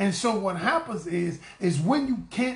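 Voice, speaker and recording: A loud, animated man with a high pitch and lively intonation talks at a fairly slow pace, with music in the background and audible room echo. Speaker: relationship coach. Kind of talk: live-stream talk to viewers. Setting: livestream. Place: home room. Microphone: phone near.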